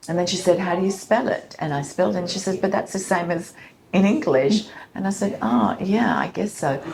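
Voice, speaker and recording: With an Australian accent, a woman speaks at a fairly quick pace in a fairly low pitch, her intonation lively. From Sydney, Australia, of Colombian heritage. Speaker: coffee company founder, former journalist. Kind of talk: interview answer.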